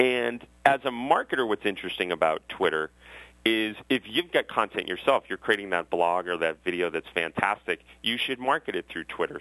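With an American accent, a man speaks at a fairly quick pace. His pitch is fairly low and his intonation lively. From Massachusetts (Westwood, near Boston). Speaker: tech entrepreneur and author. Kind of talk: interview.

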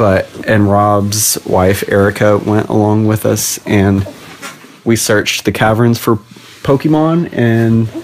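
A man with an American accent speaks very slowly at a medium pitch, with ordinary pitch variation, very even loudness and noticeable background noise. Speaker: podcast host. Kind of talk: casual chat. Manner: playful, animated.

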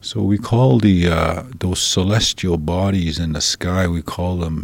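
A man's very deep, low voice with ordinary pitch variation and a very slow pace. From Alberta, Canada (Saddle Lake, Treaty 6). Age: 50s. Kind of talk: interview and language lesson. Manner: hesitant, many fillers.

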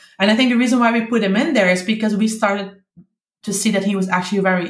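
Somewhat breathy and in a Dutch accent, a woman speaks at a very fast pace with a medium pitch. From Netherlands (Limburg). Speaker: parent of bilingual child. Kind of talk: interview.

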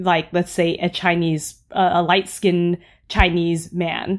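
A woman speaks with an American accent. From San Jose, California; Vietnamese American. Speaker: actor and community organizer. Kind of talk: casual chat. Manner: hesitant, many fillers and restarts.

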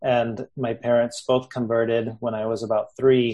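A man's voice at medium pitch with an American accent and a dark, mellow tone, at a fairly slow pace. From Texas and Mexico. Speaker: Buddhist podcast host. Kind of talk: interview.

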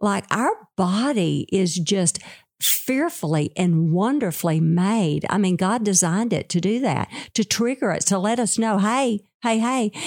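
In a Southern US accent, a woman with a medium-pitched voice talks fairly slowly with lively intonation and very even loudness, on a very clean recording with a silent background. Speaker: therapist. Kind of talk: casual chat.

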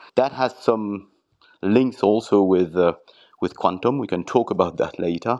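Over a quiet background, a man with a French accent speaks at a moderate pace, his fairly low voice showing ordinary pitch variation. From southern France (Arles). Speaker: quantum computing executive. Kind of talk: interview. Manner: hesitant, repeats words.

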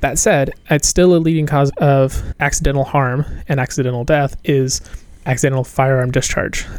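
Using a normal speaking voice, a man with an American accent talks at a fairly high pitch, with fairly even intonation and very even loudness. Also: moderate pace. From Appalachia, US South. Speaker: medical student. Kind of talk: casual group discussion.

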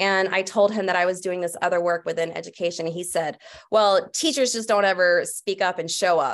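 A woman speaks in an ordinary speaking voice at a medium pitch. Her pitch varies in an ordinary way over a quiet background. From US South, Atlanta. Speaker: teacher. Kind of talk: casual chat.

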